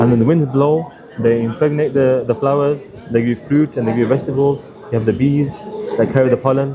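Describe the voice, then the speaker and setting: Speech comes at a very fast pace with ordinary pitch variation and very even loudness, over noticeable background noise. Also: man, medium pitch for a man. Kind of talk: conversation with a stranger, religious discussion.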